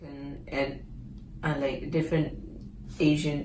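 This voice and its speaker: A woman with a very deep, low voice speaks fairly slowly in a flat monotone, with audible room echo around her. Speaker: international student. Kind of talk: interview.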